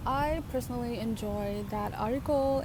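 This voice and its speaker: A woman with a non-native accent, amid noticeable background noise and audible room echo. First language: not English. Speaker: book vlogger. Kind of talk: casual vlog monologue. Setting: outdoors by a lake.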